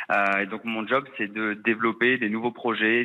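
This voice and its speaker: With a monotone, flat intonation, the talking proceeds at a moderate speed. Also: man. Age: 30s. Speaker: expatriate caller, project manager. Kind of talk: phone interview.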